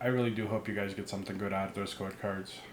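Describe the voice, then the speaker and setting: The voice has monotone, flat intonation, and audible echo fills the room. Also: man. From immigrant, grew up abroad. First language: not English. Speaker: card opening YouTuber. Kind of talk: pack opening commentary. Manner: casual.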